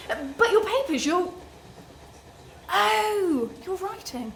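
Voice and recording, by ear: In a put-on character voice, a woman speaks slowly at an extremely high pitch with big pitch swings and vocal fry. The tone is fairly bright, and room echo is audible.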